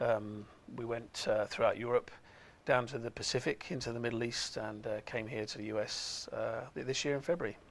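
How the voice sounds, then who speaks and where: A man with an English accent speaks at medium pitch. His pace is fairly quick and his intonation fairly even. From England. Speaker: company executive. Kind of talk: TV interview. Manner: halting, many fillers.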